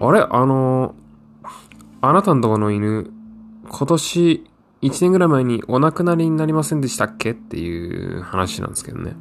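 This man's pitch swings very widely and his loudness shifts a lot. His tone is relaxed and his pace moderate. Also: medium pitch for a man. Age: 30s. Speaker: podcast host, graduate student. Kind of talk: casual solo monologue. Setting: home recording. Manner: relaxed, many fillers and laughs.

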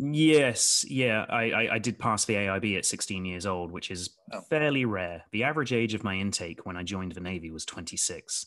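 Against a quiet background, a man with an American accent speaks at a moderate pace in a fairly low pitch with lively intonation. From southwest England (Devon, Somerset). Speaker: company CEO, former military officer. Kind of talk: casual interview.

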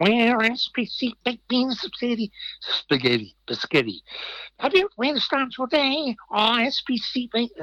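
A man puts on a character voice pitched extremely high and speaks very slowly. The sound is dry and close, with no echo. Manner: crazy, zany.

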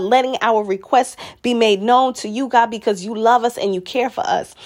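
A woman with a warm tone and fairly high pitch speaks at a fairly quick pace with ordinary pitch variation. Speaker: prayer leader. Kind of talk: fervent prayer, rhythmic repetitive petitions and praise, building to declarations. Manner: impassioned, pleading, steady cadence with repeated phrases; warm, uplifting, devout.

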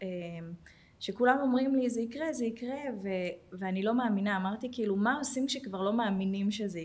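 Somewhat breathy woman's voice at medium pitch, moderate pace and ordinary pitch variation, with audible room echo. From Jerusalem, Israel. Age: 40s. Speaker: welfare manager at a tech company. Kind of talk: personal testimony.

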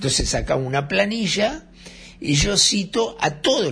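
Pitch swings very widely in this voice, which carries vocal fry. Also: man. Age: 60s. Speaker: radio host and journalist. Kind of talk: casual radio monologue. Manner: animated.

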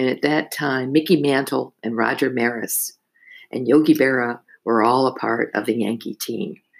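Speaking at a moderate pace with an American accent, a woman uses a very deep, low pitch with ordinary pitch variation. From New Jersey. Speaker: retired broadcaster and painter. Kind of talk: family interview, casual reminiscing.

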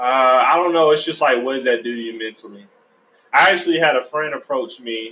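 This man has a normal speaking voice with an American accent, speaking at a fairly quick pace in a medium pitch with ordinary pitch variation. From US South, Georgia. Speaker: podcast host. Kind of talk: casual chat.

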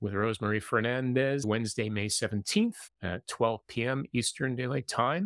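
A man's medium-pitched voice, a plain, everyday voice, with ordinary pitch variation and a moderate pace, in a very clean recording with a silent background and a dry, close sound with no echo. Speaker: podcast host and intercultural coach. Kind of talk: live-streamed interview. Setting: live stream video.

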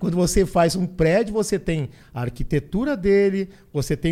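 A man with a dark, mellow tone and a high pitch talks at a moderate pace with ordinary pitch variation. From southern Brazil, Porto Alegre. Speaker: business consultant and motivational speaker. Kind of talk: podcast interview. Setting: studio.

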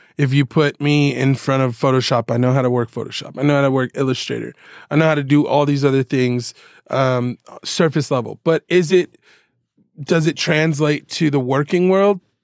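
A man with an American accent and an ordinary speaking voice talks at a moderate pace, his fairly high pitch held in fairly even intonation. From Southern California (Oceanside). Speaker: music producer. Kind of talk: casual chat.

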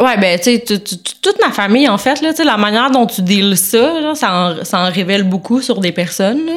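A woman with a normal speaking voice talks at a moderate pace with a fairly high pitch, lively intonation and hardly any pauses. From Quebec, Sainte-Anne-de-Sorel. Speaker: barista. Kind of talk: casual chat.

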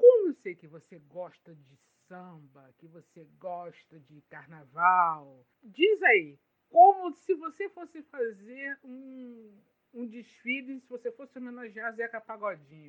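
Speaking very slowly, a woman uses a high pitch with very wide pitch swings and big shifts in loudness. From Duque de Caxias, Rio de Janeiro, Brazil. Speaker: podcast host and blogger. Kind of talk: casual chat.

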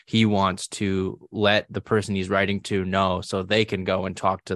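Over a quiet background, a man with a fairly low pitch speaks at a moderate pace in a monotone, flat intonation, with a dry, close sound and no echo. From New England. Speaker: podcast host. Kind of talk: interview.

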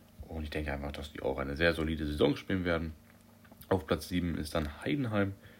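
The man's voice shows ordinary pitch variation. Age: young. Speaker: podcast host. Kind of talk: solo sports commentary podcast. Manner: casual, with frequent fillers.

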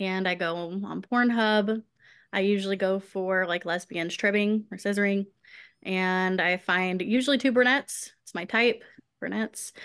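A woman with an American accent speaks in an unremarkable speaking voice at a medium pitch and moderate pace. Her intonation is fairly even, and the background is quiet. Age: 30s. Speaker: schoolteacher and adult content creator. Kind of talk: interview.

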